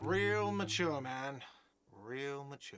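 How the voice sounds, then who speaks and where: A man puts on a whiny character voice at a medium pitch, with audible echo around him. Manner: shouting.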